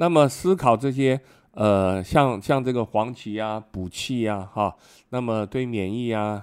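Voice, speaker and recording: At a fairly slow pace, a man talks in an unremarkable speaking voice at medium pitch, with ordinary pitch variation, on a very clean recording with a silent background. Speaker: retired immunology professor and physician. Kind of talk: interview.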